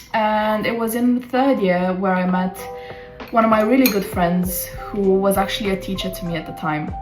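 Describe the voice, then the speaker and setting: Backed by music and audible room echo, a woman speaks at a moderate pace with a medium pitch and ordinary pitch variation. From Romania. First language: Romanian. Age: 20s. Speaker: vlogger and freelance marketer. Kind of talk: casual vlog talk to camera. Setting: at home, living room.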